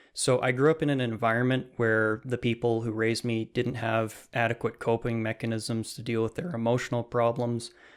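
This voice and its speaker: On a very clean recording with a silent background, a man speaks at a moderate pace in a plain, everyday voice of medium pitch, with fairly even intonation. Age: 20s. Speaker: self-taught programmer and YouTube teacher. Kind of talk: interview.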